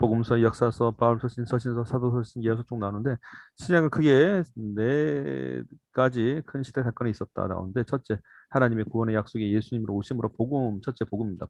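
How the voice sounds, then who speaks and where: A man's medium-pitched voice at a fairly quick pace, with ordinary pitch variation and a dry, close sound free of echo. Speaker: church Bible teacher. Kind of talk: lecture. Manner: fast.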